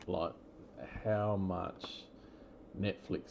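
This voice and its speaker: Speaking at a very slow pace, a man talks in an Australian accent. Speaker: trading card breaker. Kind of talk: live card break commentary. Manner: casual, with many fillers.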